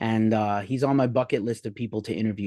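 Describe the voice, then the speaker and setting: Very fast speech from a man with an American accent, medium in pitch and dark, mellow in tone, against a quiet background. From New York. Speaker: music journalist. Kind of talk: interview. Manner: talks a lot, animated.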